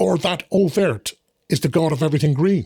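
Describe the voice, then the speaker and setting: Recorded with a dry, close sound and no echo, a man does a put-on character voice at a fairly high pitch, with lively intonation and a fairly quick pace. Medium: read story. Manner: earnest, instructive.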